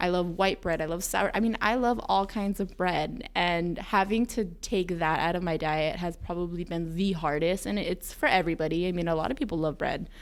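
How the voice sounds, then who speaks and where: With hardly any pauses, a woman talks at a moderate pace in an ordinary speaking voice, her pitch fairly low. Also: ordinary pitch variation. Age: 20s. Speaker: wellness center staff member. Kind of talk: casual podcast interview.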